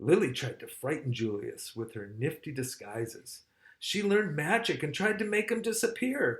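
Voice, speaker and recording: A man's pitch swings very widely. He keeps to a moderate pace. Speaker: father of the channel owner, reading a children's book. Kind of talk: children's picture book read-aloud. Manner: friendly, conversational, with asides and comments to the children.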